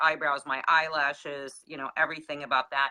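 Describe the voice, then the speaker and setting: A woman's voice with fairly even intonation. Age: 60s. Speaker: wellness product user sharing results. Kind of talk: casual chat.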